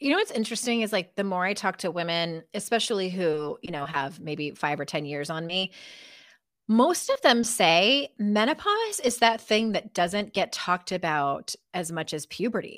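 A woman of medium pitch has a plain, everyday voice and lively intonation at a moderate pace. The recording is very clean, with a silent background. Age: 40s. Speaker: author and life coach. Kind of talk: casual interview.

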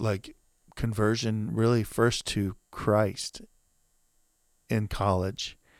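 Against a silent background in a very clean recording, a man speaks at a fairly low pitch with fairly even intonation. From US South. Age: 50s. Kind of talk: casual interview.

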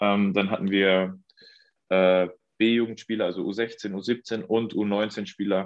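Speaking at a very slow pace, a man keeps a monotone, flat intonation and very even loudness. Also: fairly low pitch for a man. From Mecklenburg-Vorpommern, Germany. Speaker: professional football goalkeeper. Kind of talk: interview.

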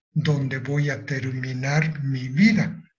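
A somewhat breathy male voice. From Japan, Nagasaki. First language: Japanese (speaking Spanish). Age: 80s+. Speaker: atomic bomb survivor. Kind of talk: testimony.

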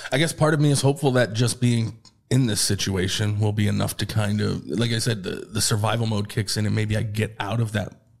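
On a very clean recording with a silent background, a man with an American accent speaks at a fairly quick pace, his fairly low voice somewhat breathy and showing ordinary pitch variation. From upstate New York. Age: 30s. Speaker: unemployed former tech program manager. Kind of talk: personal interview testimony. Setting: studio on camera.

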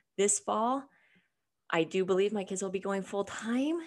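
At a moderate pace, a woman speaks at a medium pitch in an unremarkable speaking voice, captured on a very clean recording with a silent background. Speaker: attorney. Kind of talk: casual interview chat.

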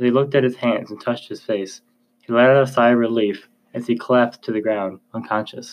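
Against a quiet background, a natural voice reads aloud with fairly even intonation.

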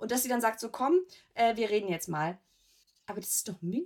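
A woman's fairly high-pitched voice. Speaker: podcast co-host. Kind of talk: casual chat.

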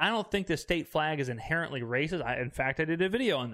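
A man with a Mississippi accent speaks at a fairly quick pace on a very clean recording with a silent background. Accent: Mississippi Southern. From US South, Mississippi. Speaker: podcast host. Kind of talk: casual monologue reacting to comments. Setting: home recording setup filmed for video. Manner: animated, laughing.

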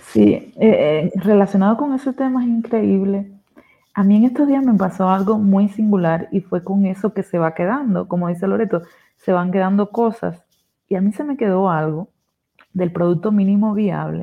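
An ordinary speaking voice from a woman, medium in pitch, with ordinary pitch variation and a moderate pace. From Cuba. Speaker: agile coach. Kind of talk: casual chat.

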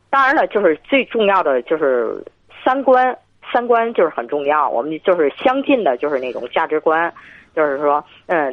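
A woman speaks in a fairly low voice, her pitch swinging very widely up and down. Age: 50s. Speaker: caller. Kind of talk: phone-in conversation. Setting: phone call. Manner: halting.

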